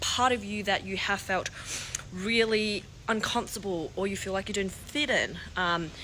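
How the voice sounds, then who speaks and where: Noticeable background noise sits behind a woman speaking at medium pitch with ordinary pitch variation. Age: 30s. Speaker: lifestyle vlogger. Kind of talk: casual vlog monologue. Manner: loud; hesitant with frequent fillers.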